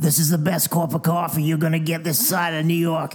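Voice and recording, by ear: Raspy and pitched in the middle, the put-on character voice moves at a fairly quick pace.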